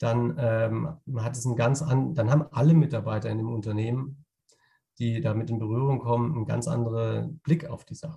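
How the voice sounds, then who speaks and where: The man's tone is dark and mellow, and somewhat breathy. He has a medium pitch with ordinary pitch variation. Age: 30s. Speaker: innovation consultant. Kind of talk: interview. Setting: on the road, remote. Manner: halting, many fillers.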